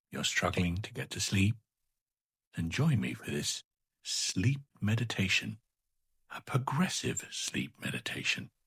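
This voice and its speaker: A man speaks in a calm tone with vocal fry, his pitch swinging very widely at a fairly slow pace. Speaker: meditation guide. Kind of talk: progressive relaxation sleep meditation. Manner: slow, soothing, gentle; calm, friendly.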